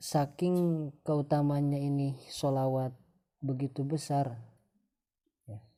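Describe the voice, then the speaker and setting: Someone with a non-native accent speaks at a very slow pace, leaving long, frequent pauses. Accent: non-fluent Indonesian, self-described. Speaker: religious teacher. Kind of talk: religious talk. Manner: halting, many fillers.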